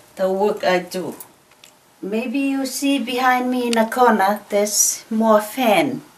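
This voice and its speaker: A woman with a fairly high pitch speaks at a very slow pace amid noticeable background noise. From Tonga. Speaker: craftswoman. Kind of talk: tutorial.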